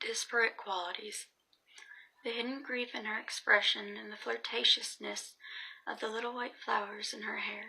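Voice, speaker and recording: Soft-spoken, a woman talks at a moderate pace with a fairly high pitch and vocal fry. Her intonation is monotone and flat. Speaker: student. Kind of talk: essay reading.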